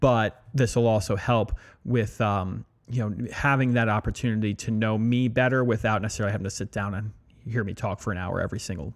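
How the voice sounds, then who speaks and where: A man with an American accent and a plain, everyday voice talks fairly quickly at a fairly low pitch with fairly even intonation. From Pennsylvania, Allentown. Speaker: restaurant owner and podcast host. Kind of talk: casual chat.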